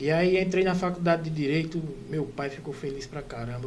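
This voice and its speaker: There is noticeable background noise and audible room echo as a man with a fairly high pitch speaks at a fairly quick pace, with ordinary pitch variation. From interior of Pernambuco, Brazil (Bezerros). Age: 30s. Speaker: orthopedic resident doctor. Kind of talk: casual podcast interview, personal story.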